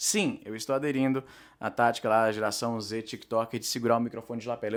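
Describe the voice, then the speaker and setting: A man talks at a very fast pace and a medium pitch. The recording is very clean, with a silent background. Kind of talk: casual talk to camera. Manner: fast, rambling.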